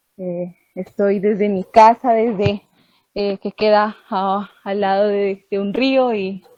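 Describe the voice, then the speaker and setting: A woman speaks very slowly at a medium pitch, her intonation flat and monotone. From Putumayo, Colombia (Inga people). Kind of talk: online group meeting contribution. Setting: video call from home. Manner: hesitant, many fillers.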